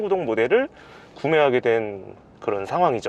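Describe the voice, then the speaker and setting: Very wide pitch swings from a man, the sound dry and close with no echo. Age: 30s. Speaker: technical sales at car parts supplier. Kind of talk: interview answer.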